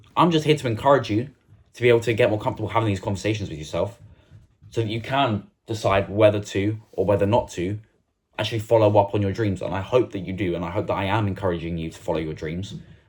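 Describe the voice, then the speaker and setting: Over a very clean recording with a silent background, a man speaks very fast at a fairly low pitch, somewhat breathy. His tone is passionate and animated, with big swings in loudness. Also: ordinary pitch variation. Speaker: self-improvement YouTuber. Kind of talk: motivational talk to camera. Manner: passionate, animated.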